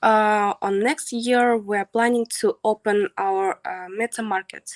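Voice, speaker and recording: A woman speaks at a very slow pace with a Kazakh accent, her pitch fairly high and her intonation fairly even. The background is quiet and the sound dry, with no echo. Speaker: translator presenting project. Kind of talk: Q&A answers. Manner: halting. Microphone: video call.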